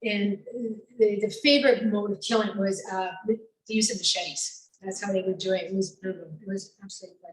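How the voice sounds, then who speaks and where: This woman has an unremarkable speaking voice at a medium pitch, with fairly even intonation. She talks at a fairly quick pace, and her loudness swings a lot. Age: 60s. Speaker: radio foreign correspondent. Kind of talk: personal storytelling talk.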